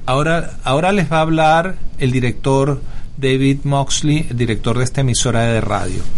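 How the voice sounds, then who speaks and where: This man speaks at a moderate pace with a fairly high pitch, very even loudness and ordinary pitch variation. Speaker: radio host. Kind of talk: political talk radio, opinionated and conservative, mixing Spanish and English. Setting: radio studio. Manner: brisk, emphatic, reads out figures with 'ok?' tags.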